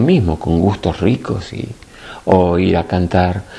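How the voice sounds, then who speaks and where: Noticeable background noise runs under this recording. The man's voice has a very deep, low pitch. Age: 60s. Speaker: spiritual teacher. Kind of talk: spiritual talk to a group. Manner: animated.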